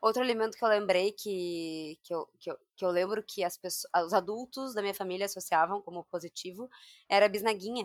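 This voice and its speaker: Here is a plain, everyday voice at a moderate pace. The sound is dry and close, with no echo. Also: woman. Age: 30s. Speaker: podcast host, nutritionist. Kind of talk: casual chat.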